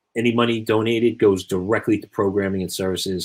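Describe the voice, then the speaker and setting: In a very clean recording with a silent background, a man with a Long Island accent talks at a fairly quick pace in a fairly low voice with fairly even intonation. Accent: Long Island New York. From Long Island, New York. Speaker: youth leadership coach and podcast co-host. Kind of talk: podcast sign-off chat.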